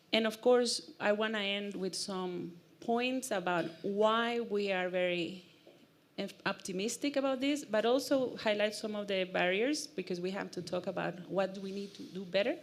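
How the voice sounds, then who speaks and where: Over audible room echo, a woman speaks at a moderate pace with a medium pitch and ordinary pitch variation. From Costa Rica. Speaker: e-mobility speaker. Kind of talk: conference talk. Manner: animated.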